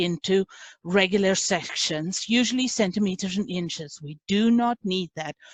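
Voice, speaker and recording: A woman with a non-native accent at a moderate pace, in a dry, close sound with no echo. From South Africa. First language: not English. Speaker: class instructor. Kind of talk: lecture.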